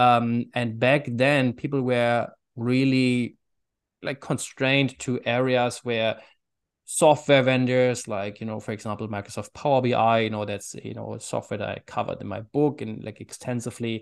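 Over a quiet background, a man with a German accent talks with fairly even intonation. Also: medium pitch for a man, moderate pace. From Germany. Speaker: author and AI consultant. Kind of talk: interview answers.

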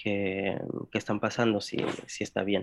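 A man with an English accent speaks at a fairly slow pace in a dry, close sound with no echo and a quiet background. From US Midwest, Indianapolis. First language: English (speaking Spanish). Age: 20s. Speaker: DACA recipient, political science graduate. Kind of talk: interview. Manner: halting, many fillers.

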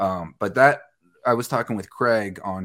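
In a very clean recording with a silent background, a man with an ordinary speaking voice talks at a fairly slow pace, his pitch fairly low and his intonation fairly even. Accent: American. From Westchester County, New York. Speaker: news and sports anchor. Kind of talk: casual chat.

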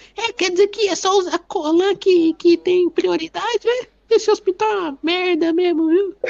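In a put-on character voice, the speaker shouts at an extremely high pitch, moving at a moderate pace with hardly any pauses. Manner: yelling, complaining.

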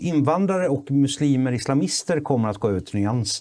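Here a man speaks at a fairly high pitch with lively intonation. His tone is dark and mellow. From Sweden, Kalmar. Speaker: photographer and filmmaker. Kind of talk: casual political chat.

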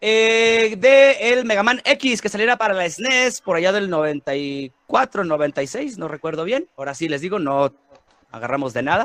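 A man with a high pitch speaks fairly slowly, his pitch swinging very widely, in a dry, close sound with no echo. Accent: Mexican. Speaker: podcast host. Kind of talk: casual chat. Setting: studio.

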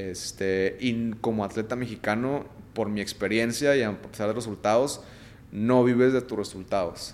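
A man speaks at a fairly slow pace in a medium pitch. His intonation is fairly even. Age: 30s. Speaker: retired Olympic gymnast. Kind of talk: casual interview chat.

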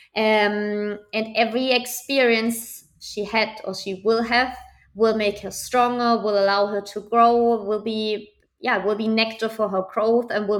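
A woman with a German accent and a fairly high pitch, at a fairly slow pace, in a monotone, flat intonation. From Germany, small town. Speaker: startup founder and art coach. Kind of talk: interview.

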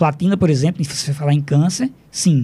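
A man with a fairly high pitch speaks in a somewhat breathy, dark, mellow tone. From Brazil, Rio Grande do Norte (Upanema, near Mossoró). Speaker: chemistry professor. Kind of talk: radio interview. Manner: halting, many fillers.

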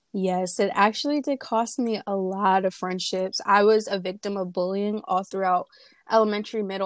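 An ordinary speaking voice from a woman with an American accent comes through at medium pitch with fairly even intonation in a very clean recording with a silent background. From New Jersey. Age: young. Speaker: beauty pageant titleholder. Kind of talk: interview.

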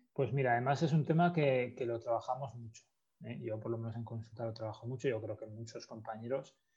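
Ordinary pitch variation runs through this somewhat breathy voice. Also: man. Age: 30s. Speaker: sports psychologist. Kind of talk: interview.

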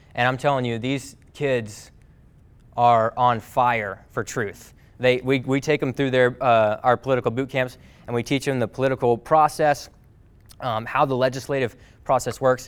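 In a plain, everyday voice, a man speaks at medium pitch and a moderate pace with fairly even intonation. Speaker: podcast host and speaker. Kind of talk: talk to a class, motivational message. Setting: live class, recorded with audience.

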